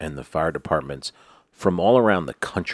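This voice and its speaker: A man's very deep, low voice with vocal fry, at a moderate pace, dry and close with no echo. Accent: American. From New York. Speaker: podcast co-host. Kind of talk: casual chat. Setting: studio.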